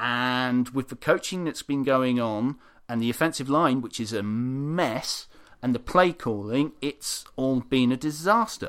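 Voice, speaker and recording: On a very clean recording with a silent background, a man of medium pitch speaks at a fairly slow pace with ordinary pitch variation. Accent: British. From UK. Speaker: football blog editor and podcast co-host. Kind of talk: casual chat.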